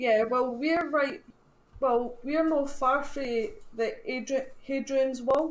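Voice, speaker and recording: Her voice is high for a woman, and she speaks at a very slow pace with ordinary pitch variation. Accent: Scottish. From Scotland. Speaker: paranormal team founder. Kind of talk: casual chat.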